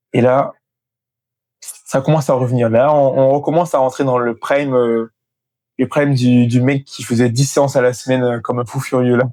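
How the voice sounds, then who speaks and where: Monotone and flat, a man's dark, mellow voice of medium pitch comes with long, frequent pauses. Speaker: fitness content creator. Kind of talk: motivational vlog. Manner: fast.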